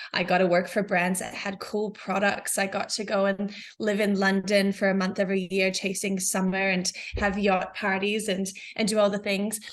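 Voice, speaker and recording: In an American accent, a woman speaks at a moderate pace with a medium pitch and monotone, flat intonation. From New Zealand. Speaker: business founder. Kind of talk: podcast interview. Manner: hesitant, many fillers.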